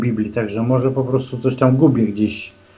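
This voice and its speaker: At a fairly quick pace, a man speaks with a medium pitch and a somewhat breathy sound. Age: 40s. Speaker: caller. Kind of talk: phone-in chat. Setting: phone call. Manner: halting.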